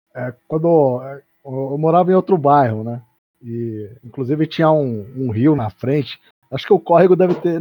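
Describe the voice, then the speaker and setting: A man speaks in a normal speaking voice at fairly high pitch. His pace is moderate. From São Paulo, Brazil. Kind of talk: casual chat.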